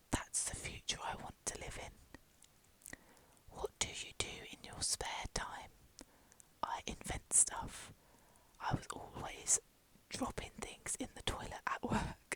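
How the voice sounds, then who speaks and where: A woman whispers at a very slow pace with long, frequent pauses. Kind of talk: ASMR whispered reading aloud of a fan guide. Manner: whispered.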